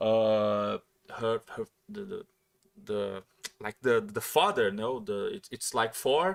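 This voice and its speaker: Pausing long and often, a man with a medium pitch speaks very slowly with very wide pitch swings, in a dry, close sound with no echo. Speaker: podcast host. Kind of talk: casual chat. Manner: halting, many repetitions.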